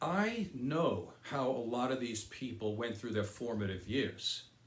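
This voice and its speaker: Talking at a very slow pace with very wide pitch swings, a man sounds somewhat breathy against audible room echo. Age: 60s. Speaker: political commentary video host. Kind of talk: opinion monologue.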